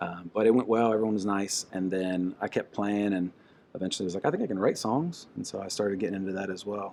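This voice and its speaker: The intonation stays fairly even, in an American accent. The pace is very fast. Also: man, fairly low pitch for a man. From southeastern Ohio, US. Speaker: singer-songwriter. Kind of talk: interview. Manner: casual, hesitant with fillers.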